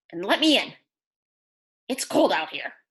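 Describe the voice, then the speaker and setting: A woman puts on a character voice. She keeps a moderate pace. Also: high pitch for a woman. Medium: read story. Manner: sly, bargaining.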